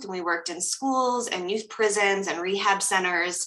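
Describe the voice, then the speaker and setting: This woman has a normal speaking voice with a General American accent. Her pitch is medium and her pace moderate. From US, Colorado. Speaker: coach and professional dancer. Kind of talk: interview conversation. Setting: video call.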